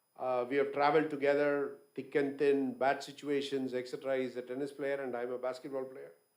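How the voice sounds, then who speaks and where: At a moderate pace, a man speaks with an unremarkable speaking voice, fairly high in pitch. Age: 60s. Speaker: business owner, guest speaker. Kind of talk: conference talk.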